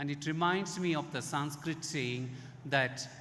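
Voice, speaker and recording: Lively intonation with audible room echo. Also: man. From India. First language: Indian language, English learned. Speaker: Ayurveda expert speaker. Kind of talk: conference talk.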